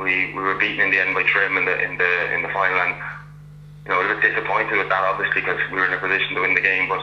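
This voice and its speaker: A man talks at a very fast pace in a Meath Irish accent. Audible room echo and noticeable background noise surround his voice. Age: 30s. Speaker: Gaelic football club captain. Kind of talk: casual interview. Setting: phone call.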